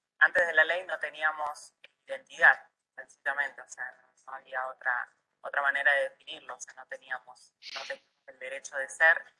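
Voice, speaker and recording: A woman at a moderate pace, with big swings in loudness and a dry, close sound with no echo. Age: 20s. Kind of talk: testimony.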